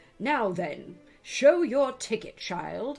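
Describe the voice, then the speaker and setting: A female-sounding, fairly high put-on character voice over faint background music. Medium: read story. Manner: brusque, angry.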